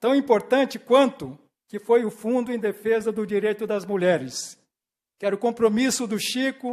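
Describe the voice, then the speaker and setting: Moderate pace and ordinary pitch variation in a man's high voice. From Brazil, Bahia, moved to Santos at eleven. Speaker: honoree, former political aide. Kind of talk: acceptance speech. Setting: city council ceremonial session.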